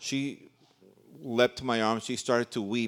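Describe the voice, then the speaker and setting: At a fairly slow pace, a man talks in a monotone, flat way. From New York City, raised in Central America. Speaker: visiting pastor, preacher. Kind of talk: sermon, preaching. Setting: church.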